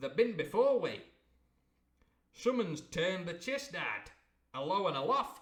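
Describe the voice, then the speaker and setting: Putting on a character voice, a man speaks high-pitched at a moderate pace, with long, frequent pauses. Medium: read story. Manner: blunt, matter-of-fact.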